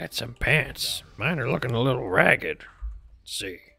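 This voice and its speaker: Faint music plays in the background as a man at medium pitch uses a raspy, put-on character voice at a moderate pace. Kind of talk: video game roleplay. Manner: rambling.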